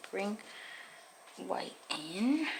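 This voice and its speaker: A soft-spoken woman talks through noticeable background noise. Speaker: painting tutorial host. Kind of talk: painting tutorial talk.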